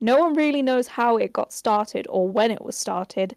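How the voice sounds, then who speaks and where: With a British accent, a woman talks at a fairly quick pace with lively intonation. The recording is very clean and silent behind her, dry and close with no echo. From Birmingham, England. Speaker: podcast host. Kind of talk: casual chat. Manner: fast.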